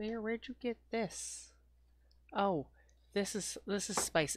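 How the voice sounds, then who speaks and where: A soft-spoken woman at a fairly high pitch, talking at a very slow pace with ordinary pitch variation. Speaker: gaming video creator. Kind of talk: gameplay commentary.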